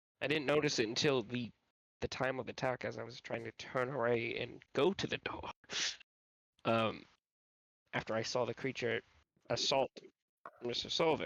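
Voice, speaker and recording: In a raspy put-on character voice at a medium pitch, a man talks at a moderate pace with long, frequent pauses, the sound dry and close with no echo. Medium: actual play. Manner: hesitant, filler words.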